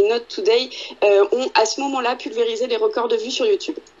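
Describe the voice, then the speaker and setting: A high-pitched woman's voice with very wide pitch swings amid noticeable background noise. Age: 20s. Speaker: podcast co-host. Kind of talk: casual chat.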